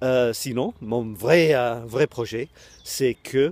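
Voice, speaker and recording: A man speaks with a strong English accent in a dry, close sound with no echo. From Britain. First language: English (speaking French). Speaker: online coach and web creator. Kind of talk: casual video talk to camera. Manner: halting, many hesitations.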